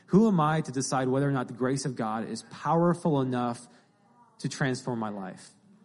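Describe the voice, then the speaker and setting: The speaker has a normal speaking voice, moves at a moderate pace, and shows ordinary pitch variation. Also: man, medium pitch for a man. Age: 20s. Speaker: young Bible school graduate speaking at church. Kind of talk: sermon-style interview.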